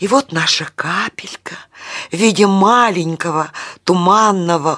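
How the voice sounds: The pitch moves in an ordinary way. The voice is a natural reading voice.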